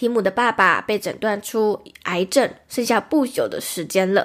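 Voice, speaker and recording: On a very clean recording with a silent background, a woman with a plain, everyday voice speaks at a fairly high pitch and a moderate pace. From Taiwan. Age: 20s. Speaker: podcast host. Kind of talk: solo podcast monologue, movie recommendations. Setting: recorded livestream.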